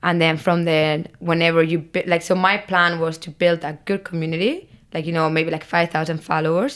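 A woman with a Spanish accent, fairly low pitch, monotone, flat intonation and a moderate pace. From Barcelona, Spain. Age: 20s. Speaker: content creator. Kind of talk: casual interview chat.

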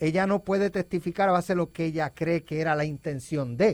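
In a very clean recording with a silent background and dry, close sound with no echo, a man with a high pitch speaks at a moderate pace with ordinary pitch variation. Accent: Puerto Rican. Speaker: news director. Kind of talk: news report.

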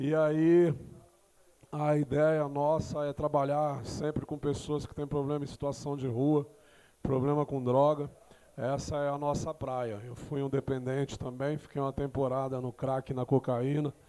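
At a fairly slow pace, a man speaks in a dark, mellow tone with fairly high pitch and monotone, flat intonation. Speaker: gospel rapper and pastor. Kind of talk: interview chat. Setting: studio.

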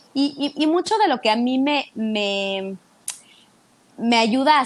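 Speaking with a Mexican accent, a woman uses a fairly high pitch, an animated tone and ordinary pitch variation. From Mexico City. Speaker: fitness instructor. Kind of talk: casual interview chat.

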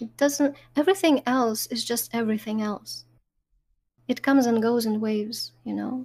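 A woman speaks in a calm, soothing tone at a fairly high pitch. Her pace is moderate and her pitch varies in an ordinary way. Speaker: Twitch streamer. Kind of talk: casual interview chat.

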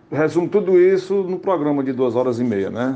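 A man's fairly slow speech with ordinary pitch variation over noticeable background noise. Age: 60s. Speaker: radio comedian. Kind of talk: interview.

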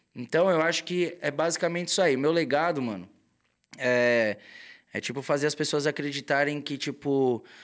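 In a very clean recording with a silent background, a man speaks at a fairly high pitch with lively intonation. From São Paulo, Brazil. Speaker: tattoo artist. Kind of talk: casual chat. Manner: animated.

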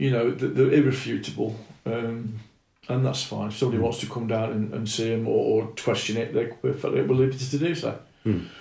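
Speaking with a British accent, a man uses a dark, mellow tone with vocal fry, a medium pitch, ordinary pitch variation and a fairly quick pace. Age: 60s. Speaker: martial arts instructor. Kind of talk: casual chat.

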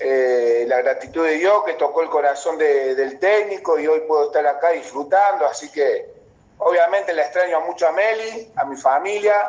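A man talks at a moderate pace while noticeable background noise carries on underneath. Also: fairly high pitch for a man, ordinary pitch variation. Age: 30s. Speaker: professional footballer. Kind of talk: casual chat.

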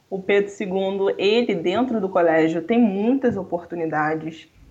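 Against noticeable background noise, a woman of medium pitch speaks at a fairly slow pace with ordinary pitch variation. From Rio de Janeiro, Brazil. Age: 20s. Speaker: economics student. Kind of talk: casual interview.

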